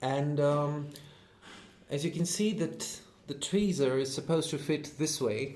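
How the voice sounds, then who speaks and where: In an Indian accent, a man with a fairly high pitch and a somewhat breathy voice speaks at a fairly slow pace with long, frequent pauses and ordinary pitch variation, with audible room echo. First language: Hindi. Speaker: YouTuber, knife collector. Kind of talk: unboxing video. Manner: hesitant, many fillers.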